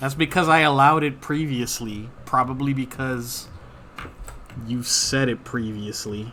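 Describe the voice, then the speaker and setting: A man with a strong New York accent, medium in pitch and fairly slow in pace. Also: fairly even intonation. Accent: pronounced New York. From New York City. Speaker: live-streaming artist. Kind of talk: casual live stream chat while drawing.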